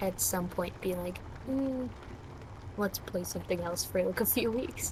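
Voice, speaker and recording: Soft-spoken and at a fairly slow pace, a woman talks at medium pitch with ordinary pitch variation. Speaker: gaming co-player. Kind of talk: casual gaming chat. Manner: quiet, soft-spoken.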